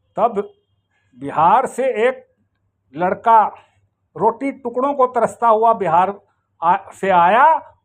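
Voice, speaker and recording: This man talks at a high pitch with ordinary pitch variation. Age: 70s. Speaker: retired army veteran. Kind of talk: video complaint monologue. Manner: agitated.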